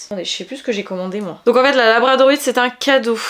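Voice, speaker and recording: A woman speaks in a high pitch. Noticeable noise sits in the background. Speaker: beauty vlogger. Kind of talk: casual vlog. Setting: at home.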